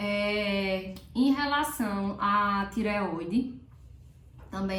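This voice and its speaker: A woman's medium-pitched voice, with ordinary pitch variation, comes through noticeable background noise and audible room echo. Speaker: prenatal health educator. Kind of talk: health tutorial. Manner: casual, chatty.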